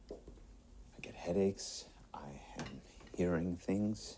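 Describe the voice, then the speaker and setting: Very slow, whispered words from a man. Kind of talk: edited compilation of a TV drama character's dialogue, soft-spoken. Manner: soft-spoken, whispery.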